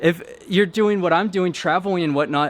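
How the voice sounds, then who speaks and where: Loud and fairly quick, a man speaks at a high pitch. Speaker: travel vlogger. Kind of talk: vlog narration while traveling. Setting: outdoors. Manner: casual.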